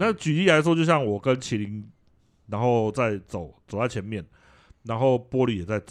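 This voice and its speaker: A man with a normal speaking voice and medium pitch talks at a moderate pace with lively intonation against a quiet background. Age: middle-aged. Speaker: video game podcast co-host. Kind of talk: casual chat.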